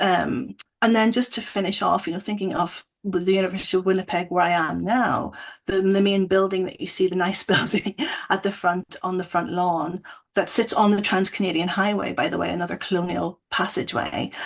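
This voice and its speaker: Speaking with a Northern Irish accent, a woman moves at a fairly quick pace with medium pitch and fairly even intonation. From Northern Ireland. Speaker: academic. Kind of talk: panel discussion.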